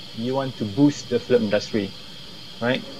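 A Malaysian accent comes through with ordinary pitch variation. Light background noise sits behind the voice. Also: man. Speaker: film director. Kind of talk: interview. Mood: critical, opinionated. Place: home room. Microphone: earbuds.

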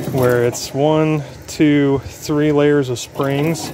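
The sound is dry with no echo, though noticeable background noise is present. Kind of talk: casual DIY narration. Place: street. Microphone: phone near.

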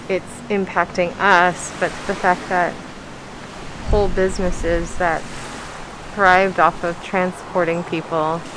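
The pace is fairly slow. Noticeable background noise runs under the speech. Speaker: travel vlogger. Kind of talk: casual vlog chat. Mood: sad, reflective. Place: waterside. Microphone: phone near.

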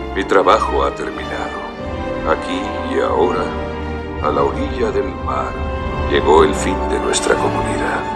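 Loud music plays in the background as a man speaks at a very slow pace. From Mexico. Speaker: voice actor. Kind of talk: dubbed film dialogue. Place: booth. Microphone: studio mic.

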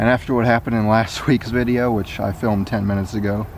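A man speaks very fast in a fairly low, flat monotone. The sound is dry with no echo, over light background noise. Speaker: urban explorer vlogger. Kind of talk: casual vlog chat. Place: street. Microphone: phone near.

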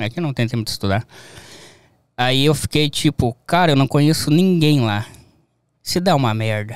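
A man with a southern Brazilian accent speaks at a moderate pace in a medium pitch, his intonation lively and broken by long, frequent pauses, over a quiet background with a dry sound and no echo. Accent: gaúcho Brazilian Portuguese. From southern Brazil, Rio Grande do Sul (near Uruguay). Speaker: graphic designer; interview guest. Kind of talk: casual chat. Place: studio. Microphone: studio mic.

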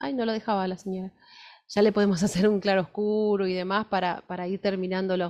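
Against a quiet background, a woman with an Argentine accent speaks with long, frequent pauses. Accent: Argentine Spanish (Rioplatense). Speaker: fashion illustration teacher. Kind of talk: workshop lecture with live drawing.

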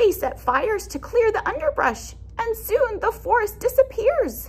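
Putting on a character voice, a woman speaks at a fairly slow pace with an extremely high pitch and big pitch swings.

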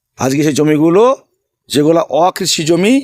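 The sound is dry and close with no echo, carrying a man's fairly high-pitched voice. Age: 50s. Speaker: election candidate, former police officer. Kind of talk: interview. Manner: emphatic.

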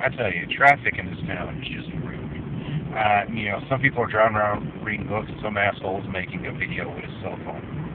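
A man at a fairly quick pace, his loudness swinging widely, over noticeable background noise. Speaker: cartoon reviewer. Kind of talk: casual vlog chat. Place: car. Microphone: phone near.

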